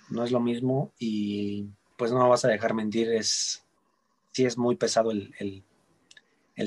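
His voice sits at a medium pitch. This man delivers every line in a flat, monotone way. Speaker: ballet dancer. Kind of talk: interview. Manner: halting, frequent repetitions.

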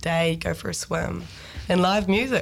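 A woman with a New Zealand accent speaks at a moderate pace. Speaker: songwriter and band frontperson. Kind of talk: casual radio interview.

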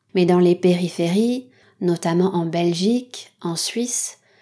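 In a very clean recording with a silent background, a woman speaks at a very slow pace in a dark, mellow tone. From French Basque Country. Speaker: podcast host for French learners. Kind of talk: educational monologue for language learners. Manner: clear, measured pace for learners.

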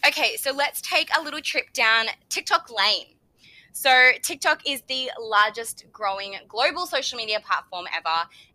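A woman with an Australian accent and a high pitch in a raised, projected voice, bright, sharp tone, very wide pitch swings and a moderate pace, in a dry, close sound with no echo. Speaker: podcast host. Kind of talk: solo podcast tutorial. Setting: home bedroom recording. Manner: casual chatty.

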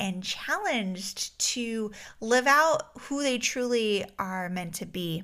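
A woman's fairly high, bright, sharp voice with lively intonation. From Alaska. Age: 30s. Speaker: life coach. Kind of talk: solo podcast monologue. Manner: casual, frequent fillers.

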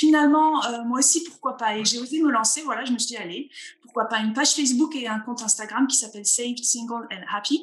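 Here a woman speaks at a fairly quick pace. Her high voice shows ordinary pitch variation. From northeastern France (Vosges, Alsace). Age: 40s. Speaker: pastor. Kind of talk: interview. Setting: video call.

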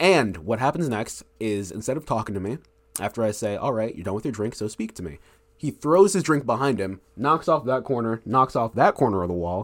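Speaking at a fairly quick pace, a man with an unremarkable speaking voice uses lively intonation at a medium pitch. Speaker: college student and aspiring teacher. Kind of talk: casual chat.

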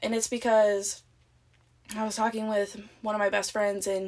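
Her intonation stays monotone and flat. This woman talks with an American accent. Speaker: podcast host. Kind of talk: casual solo monologue. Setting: closet at parents' house. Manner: soft-spoken.

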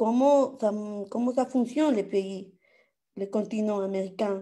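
A woman's dark, mellow tone at a very slow pace. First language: Spanish (speaking French). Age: 30s. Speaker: audience participant. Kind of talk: casual Q&A. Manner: halting.

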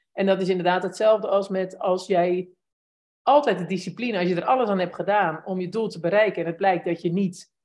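At a moderate pace, a woman talks in an unremarkable speaking voice, medium in pitch, with fairly even intonation. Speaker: podcast host interviewer. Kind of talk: casual interview chat. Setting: live video call with chat.

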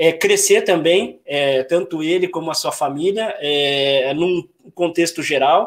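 A man's high-pitched voice with ordinary pitch variation on a very clean recording with a silent background. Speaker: YouTube channel host. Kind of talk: livestream interview. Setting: YouTube livestream.

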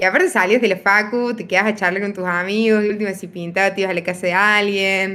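Medium in pitch with a bright, sharp tone, a woman speaks at a fairly quick pace with fairly even intonation. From Argentina, Río Cuarto (Córdoba). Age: 20s. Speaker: medical student, podcast guest. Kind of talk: casual chat.

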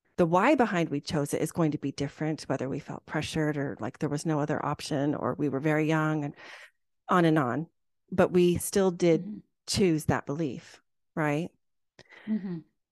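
A woman speaks at a very deep, low pitch with ordinary pitch variation and a moderate pace. The background is quiet, and the sound is dry and close, with no echo. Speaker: podcast host and life coach. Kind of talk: interview conversation.

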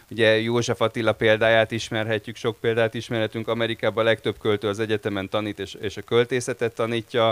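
A man's medium-pitched, monotone, flat delivery at a very fast pace with hardly any pauses. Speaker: anthology editor and translator. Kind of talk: panel discussion. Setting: stage with audience.

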